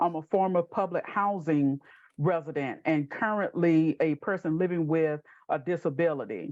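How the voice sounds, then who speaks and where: A fairly low-pitched woman with a Southern US accent and ordinary pitch variation, dry and close with no echo, against a quiet background. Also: moderate pace. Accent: Southern US (Georgia). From US South, southwest Georgia. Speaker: housing advocacy organization president. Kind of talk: panel webinar introduction.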